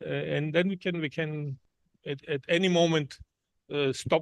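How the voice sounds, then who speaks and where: A man speaks with a non-native accent. The sound is dry and close, with no echo. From Germany. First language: not English. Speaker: visiting professor. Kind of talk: lecture. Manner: halting, many fillers and restarts.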